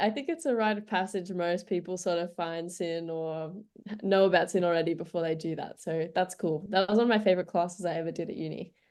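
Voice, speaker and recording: In a quiet background, a woman with an Australian accent speaks at a very fast pace, her pitch fairly low and her intonation fairly even. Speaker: community radio music director. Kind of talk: radio interview.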